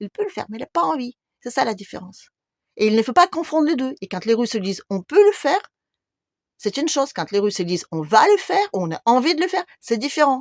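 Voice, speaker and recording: Recorded with a dry, close sound and no echo, a woman talks in a high voice with very wide pitch swings. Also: fairly quick pace. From Russia. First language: Russian (speaking French). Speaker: YouTuber. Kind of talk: video monologue.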